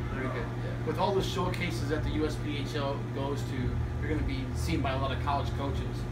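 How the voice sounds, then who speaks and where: A man speaks over loud background noise. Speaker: hockey interviewer. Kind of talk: interview. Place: shop.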